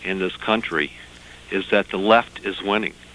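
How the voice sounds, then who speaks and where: Noticeable background noise sits behind a man with a Southern US accent. He speaks very slowly at a fairly low pitch with monotone, flat intonation. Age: 30s. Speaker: caller. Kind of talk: call-in comment. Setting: phone call.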